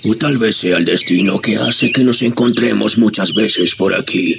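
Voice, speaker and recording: Over clear background noise, a man does a put-on character voice at a medium pitch and moderate pace. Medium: audio drama.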